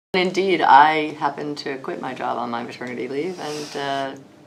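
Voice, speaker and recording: A woman with an American accent speaks at a very deep, low pitch with ordinary pitch variation, and audible room echo is present. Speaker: lawyer. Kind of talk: interview. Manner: hesitant, many fillers.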